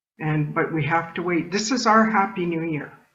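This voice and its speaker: There is audible room echo as a woman speaks at a fairly low pitch. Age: 60s. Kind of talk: talk to an audience. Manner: conversational, with many fillers.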